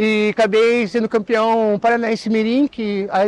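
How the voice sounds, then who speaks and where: Recorded dry and close with no echo against a quiet background, a man speaks at a high pitch in a monotone, flat way. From Matinhos, Paraná, Brazil. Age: 40s. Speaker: surfer. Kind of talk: interview testimony.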